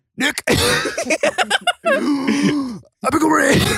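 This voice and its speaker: The speaker is a man using a put-on character voice. He pitches it extremely high. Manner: shrill exclaiming.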